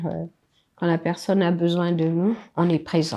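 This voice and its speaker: Her voice fairly low in pitch, a woman speaks with a dark, mellow tone and monotone, flat intonation. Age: 70s. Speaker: grandmother interviewed. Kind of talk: casual interview.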